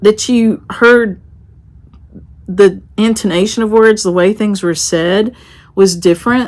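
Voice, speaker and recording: A woman with an American accent, a medium pitch and fairly even intonation. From western North Carolina mountains. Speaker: craft vlogger and shop owner. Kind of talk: casual vlog talk. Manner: conversational.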